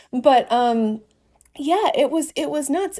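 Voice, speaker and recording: Here a woman with an American accent speaks at a fairly slow pace and a high pitch. The recording is very clean, with a silent background. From US Midwest, Northeast Wisconsin. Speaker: wedding photographer. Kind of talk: casual chat.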